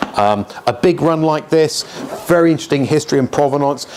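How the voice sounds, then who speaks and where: Over noticeable background noise, a man speaks at a fairly quick pace. His pitch is fairly high, with ordinary variation. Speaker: auctioneer. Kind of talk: casual talk to camera, auction preview walkabout. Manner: conversational, chatty, humorous.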